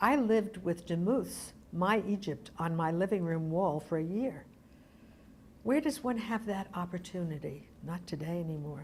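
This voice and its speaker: A woman speaks with an American accent at a moderate pace. Her voice is somewhat breathy and fairly low-pitched, with lively intonation. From Brooklyn, New York. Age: 80s+. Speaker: arts organization founder. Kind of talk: oral history interview.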